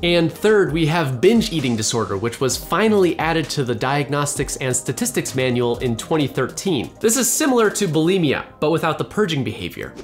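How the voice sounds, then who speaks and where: With faint music playing behind him, a man speaks with hardly any pauses. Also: moderate pace. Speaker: educational video host. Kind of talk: educational explainer. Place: home room.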